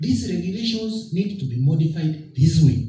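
Very wide pitch swings at a moderate pace, with audible room echo. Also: man. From Kenya. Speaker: board chairman of a public agency. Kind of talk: formal public speech. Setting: public forum with audience and microphone. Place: hall. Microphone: podium.

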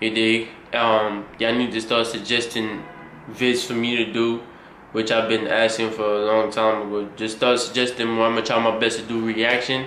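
The voice moves at a moderate pace with monotone, flat intonation. Light background noise and audible room echo are present. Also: man. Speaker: reaction video creator. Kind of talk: casual vlog chat. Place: home room. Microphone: phone near.

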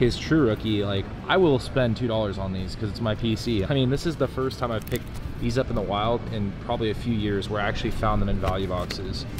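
There is noticeable background noise behind this man. He talks at a fairly quick pace with a fairly low pitch and ordinary pitch variation. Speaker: card collecting vlogger. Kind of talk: casual vlog chat. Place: shop. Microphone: phone near.

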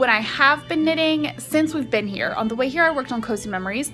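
A woman talks at a moderate pace over clear background music. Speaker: vlogger. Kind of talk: casual vlog chat. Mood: cheerful, relaxed. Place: garden. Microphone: phone near.

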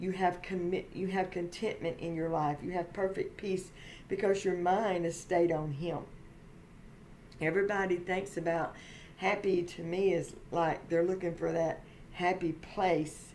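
Over light background noise, a woman speaks at a fairly slow pace in a fairly low, monotone voice with flat intonation. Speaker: faith vlogger. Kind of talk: casual vlog sermon-like chat. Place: home room. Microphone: webcam.

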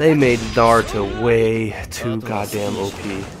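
A man speaks very slowly at a fairly low pitch. Music plays in the background. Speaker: gamer. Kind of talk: live gaming commentary. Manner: casual.

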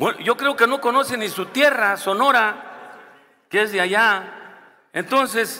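A man's bright, sharp tone rings out in a raised, projected voice. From Mexico, Guerrero. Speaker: senator. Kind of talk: parliamentary debate; parliamentary speech. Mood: firm, argumentative. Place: hall. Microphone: podium.

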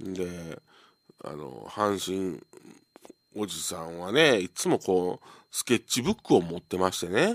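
On a very clean recording with a silent background, a man speaks in a very deep, low pitch with ordinary pitch variation. His fairly slow delivery, full of long, frequent pauses, sounds dry and close with no echo. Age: 50s. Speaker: radio host, comedian. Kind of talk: live radio monologue. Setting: radio studio with empty gallery. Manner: casual, filler-heavy with laughs.

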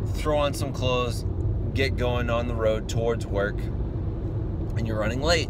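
A man at a fairly slow pace, loud background noise, dry sound with no echo. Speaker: math teacher vlogger. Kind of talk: casual vlog chat. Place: car. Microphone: phone near.

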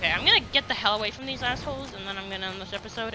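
A man talks at a very fast pace with ordinary pitch variation. Background noise is clearly audible.

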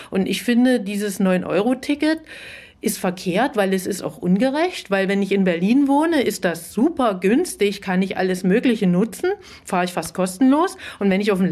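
With an unremarkable speaking voice, a woman talks at a moderate pace and medium pitch, her intonation lively. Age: middle-aged. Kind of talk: debate.

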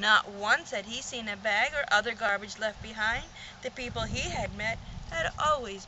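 A reading voice that sounds unforced

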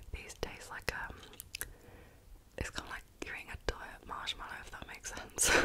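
Through noticeable background noise, a soft-spoken woman whispers at a fairly quick pace. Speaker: ASMR creator. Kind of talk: casual chatty storytelling. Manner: soft close-mic whisper ramble. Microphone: studio mic.

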